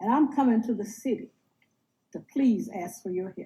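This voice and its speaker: A woman with an American accent speaks at a moderate pace, her voice somewhat breathy with a dark, mellow tone, fairly high in pitch with ordinary pitch variation. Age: 80s+. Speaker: retiree. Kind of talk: public comment testimony. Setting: city council chamber.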